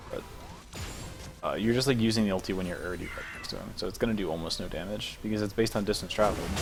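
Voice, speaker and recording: A man's fairly low voice at a very fast pace, with fairly even intonation, audible room echo, and music in the background. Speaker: esports coach analyzing gameplay. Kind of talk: replay analysis commentary. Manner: casual, filler-heavy.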